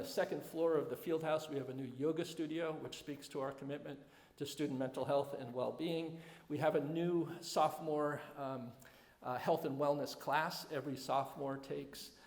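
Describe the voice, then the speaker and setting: Over noticeable background noise, a man talks at fairly high pitch with monotone, flat intonation. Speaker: head of school. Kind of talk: presentation to alumni. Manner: fast; halting, many fillers.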